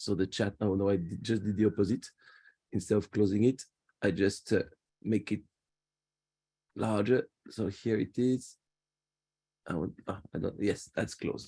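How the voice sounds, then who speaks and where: With a French accent, a man speaks at a moderate pace and a fairly low pitch, his dark, mellow tone and fairly even intonation broken by long, frequent pauses. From France, Paris. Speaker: tour guide. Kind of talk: virtual guided tour presentation. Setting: video call. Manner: halting, repeats words.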